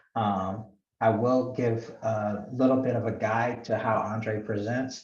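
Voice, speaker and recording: In a room with audible echo, a man speaks very slowly, somewhat breathy and with monotone, flat intonation. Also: medium pitch for a man. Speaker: professor. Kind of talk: lecture.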